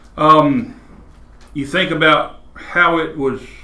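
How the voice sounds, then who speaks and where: A man's voice carries audible room echo. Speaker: Bible class teacher. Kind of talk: lecture. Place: classroom. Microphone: camera far.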